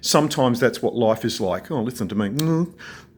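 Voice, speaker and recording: Medium-pitched man with an Australian accent, lively intonation and a moderate pace. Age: 60s. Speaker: video blogger. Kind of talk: personal vlog monologue. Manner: calm.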